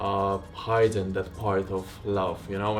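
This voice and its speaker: A man at a fairly slow pace, with music in the background and audible room echo. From Latvia. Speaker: spiritual content creator. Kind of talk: personal vlog. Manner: casual, reflective.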